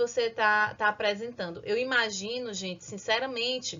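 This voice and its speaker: A woman with a northeastern Brazilian accent. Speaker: school teacher. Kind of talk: lecture.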